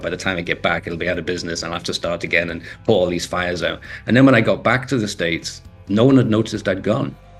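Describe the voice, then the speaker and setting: At a very fast pace, a man with a Liverpool accent talks in a fairly low pitch over noticeable background noise. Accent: Scouse. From northern England, Liverpool. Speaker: entrepreneur and author. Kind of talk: interview.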